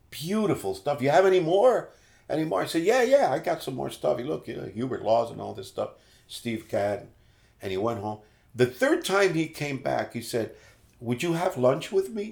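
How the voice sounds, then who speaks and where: Heard at a moderate pace, a man's fairly high voice carries vocal fry, very wide pitch swings and big swings in loudness. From Puerto Rico and New York City. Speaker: musician and radio announcer. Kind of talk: casual interview, life story. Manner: kind, friendly, relaxed.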